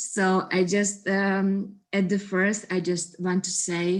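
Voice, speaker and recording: On a very clean recording with a silent background, a woman speaks with a non-native accent. Her pace is very slow. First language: not English. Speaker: actress. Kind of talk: festival Q&A. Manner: halting.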